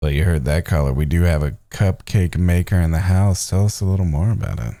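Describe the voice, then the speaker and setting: A man with a very deep, low pitch, a dark, mellow tone and ordinary pitch variation speaks at a fairly quick pace in a very clean recording with a silent background. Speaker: podcast co-host. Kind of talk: casual chat. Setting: podcast recording.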